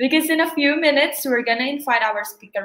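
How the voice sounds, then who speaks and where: A woman's voice carries audible room echo over a quiet background. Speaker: event host. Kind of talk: webinar host introduction. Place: home room. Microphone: webcam.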